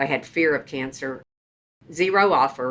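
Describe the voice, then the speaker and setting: Speaking at a moderate pace with a Texas accent, a woman has a very deep, low pitch and a bright, sharp tone. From Texas, Sherman. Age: 60s. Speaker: trial lawyer. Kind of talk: interview storytelling.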